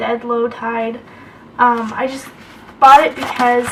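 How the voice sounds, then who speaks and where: A woman's high-pitched, flat, monotone speech at a fairly slow pace, over noticeable background noise. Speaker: craft video creator. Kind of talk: craft tutorial. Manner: casual, hesitant with fillers.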